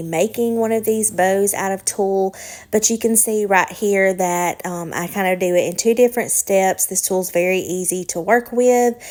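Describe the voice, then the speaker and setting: Speaking with a Southern US accent, a woman keeps a relaxed tone, moderate pace and fairly even intonation at a medium pitch. The recording is very clean with a silent background. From US South, Alabama. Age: 20s. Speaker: lifestyle vlogger. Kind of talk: casual Q&A chat. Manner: relaxed, many filler ums.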